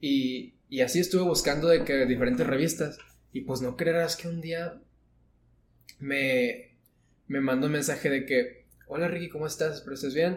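Speaking at a moderate pace with long, frequent pauses, a man with a fairly high pitch sounds somewhat breathy and shows ordinary pitch variation. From northern Mexico. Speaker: architecture student. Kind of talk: casual chat.

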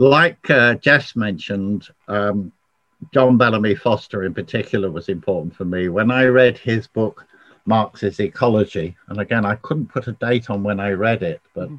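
At a moderate pace, a man with a fairly low pitch and ordinary pitch variation speaks in an unremarkable speaking voice. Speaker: socialist activist and author. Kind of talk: interview discussion.

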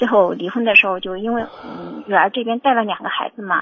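A woman at a fairly quick pace with ordinary pitch variation, amid noticeable background noise. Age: 50s. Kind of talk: phone-in call. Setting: phone call. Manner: halting.

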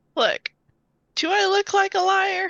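This woman puts on a character voice. Her extremely high pitch comes out squeaky. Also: ordinary pitch variation. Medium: actual play. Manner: breezy, overconfident.

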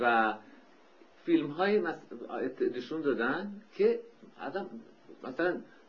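This man has a high pitch and very wide pitch swings, speaking at a fairly slow pace with long, frequent pauses. Audible room echo surrounds his voice. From Iran, Tehran. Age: 50s. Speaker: architect and painter. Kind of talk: oral history interview.

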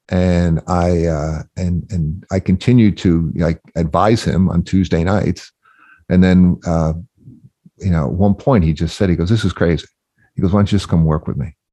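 With an American accent, a man speaks in a very deep, low pitch and a dark, mellow tone at a moderate pace, his intonation fairly even and his pauses long and frequent, in a dry, close recording with no echo and a quiet background. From New Jersey, later Massachusetts. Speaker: radio industry veteran and business owner. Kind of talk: interview, personal storytelling. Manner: halting, many fillers and repeats.

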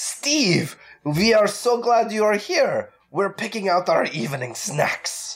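A female-sounding voice at medium pitch does a put-on character voice. Her theatrical delivery comes at a fairly slow pace. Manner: theatrical, gothic.

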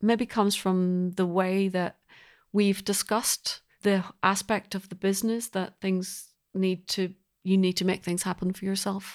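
A woman with a Northern Irish accent speaks at a fairly slow pace and a medium pitch. The recording is very clean, with a silent background. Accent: Northern Irish (Belfast). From Northern Ireland, Belfast. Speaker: composer. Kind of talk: interview conversation.

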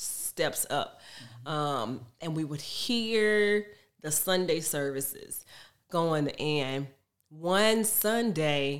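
Speaking at a very slow pace with long, frequent pauses, a woman in an American accent uses a very deep, low pitch and lively intonation, recorded very cleanly over a silent background. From Texas. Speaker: military spouse. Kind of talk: testimony. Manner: halting.

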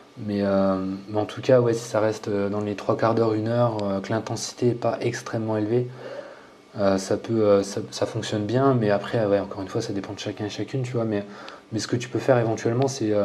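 Over noticeable background noise, a man with a fairly low pitch talks at a fairly quick pace in a monotone, flat delivery. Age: 30s. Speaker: fitness coach and YouTuber. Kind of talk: casual interview.

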